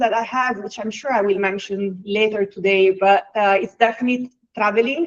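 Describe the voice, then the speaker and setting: At a moderate pace, a woman talks with an Italian accent. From Italy. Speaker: HR executive. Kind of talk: webinar interview. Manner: hesitant, many fillers.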